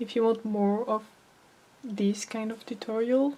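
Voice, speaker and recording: Fairly high in pitch and fairly slow, a woman speaks with a non-native accent and monotone, flat intonation. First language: not English. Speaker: amateur artist, art tutorial creator. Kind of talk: tutorial. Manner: halting, many fillers.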